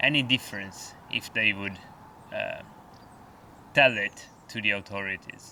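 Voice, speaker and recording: Speaking in an Italian accent at a fairly slow pace, a man leaves long, frequent pauses against noticeable background noise. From Italy. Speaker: outdoor vlogger. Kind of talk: vlog monologue. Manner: halting.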